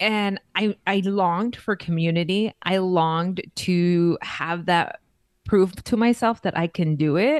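A woman with an American accent speaks fairly slowly at a medium pitch with ordinary pitch variation. Her loudness stays very even, and the sound is dry and close with no echo. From East Los Angeles, California. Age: 30s. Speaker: content creator. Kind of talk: casual interview chat. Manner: hesitant, many fillers and restarts.

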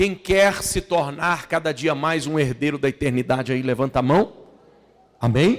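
A man with a fairly high pitch and ordinary pitch variation speaks at a fairly slow pace in a normal speaking voice. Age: 40s. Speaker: pastor. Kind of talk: sermon. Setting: church.

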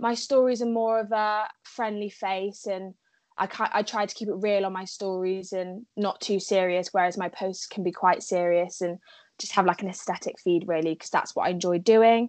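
A woman speaks in a southern English accent at a medium pitch with fairly even intonation against a quiet background. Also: moderate pace. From southwest England, Cheltenham. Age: young. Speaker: content creator. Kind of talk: casual chat.

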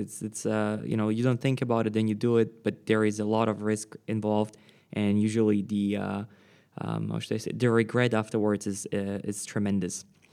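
Moderate speed and a rather low pitch from a male speaker. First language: non-English, Slavic. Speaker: podcast host. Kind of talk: interview. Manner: hesitant, many fillers.

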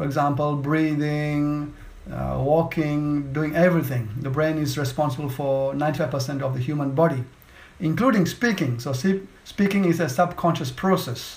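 Audible room echo surrounds a man with fairly high pitch who talks at a moderate pace with ordinary pitch variation. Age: 40s. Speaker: podcast host and speech coach. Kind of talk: interview.

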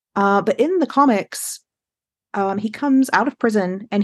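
Dry and close with no echo, a woman's voice carries ordinary pitch variation. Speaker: podcast co-host and writer. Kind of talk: casual chat. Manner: animated.

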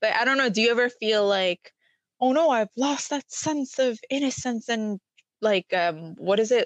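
Here is a woman with an ordinary speaking voice, fairly high in pitch, at a moderate pace. Her pitch variation is ordinary and her loudness very even. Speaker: podcast co-host. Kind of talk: casual chat.

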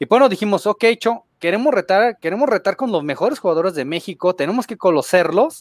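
Speaking at a fairly quick pace with lively intonation, a man uses a high pitch, and the sound is dry and close with no echo. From Guadalajara, Jalisco, Mexico. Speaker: gaming content creator. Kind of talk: casual chat.

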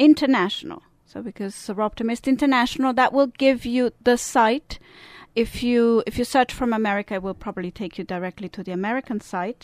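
A woman with a Swiss Italian accent, fairly quick pace, ordinary pitch variation and big swings in loudness, on a very clean recording with a silent background and a dry, close sound with no echo. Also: fairly high pitch for a woman. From Italian-speaking Switzerland. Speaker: service club representative. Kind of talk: interview.

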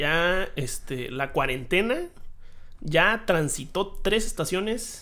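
A man raises and projects his high, bright, sharp voice. He speaks at a very slow pace with lively intonation. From Hermosillo, Sonora, Mexico. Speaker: podcast co-host. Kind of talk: casual chat.

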